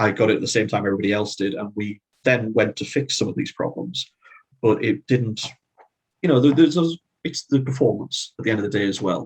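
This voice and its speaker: Speaking at a fairly quick pace, a man with a medium-pitched, somewhat breathy voice uses ordinary pitch variation. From Northeast England. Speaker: fantasy author. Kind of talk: interview.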